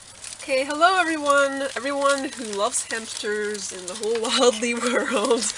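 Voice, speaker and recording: A high-pitched woman's voice with ordinary pitch variation, over noticeable background noise. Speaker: hamster keeper. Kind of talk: casual talk to camera. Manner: hesitant, many fillers.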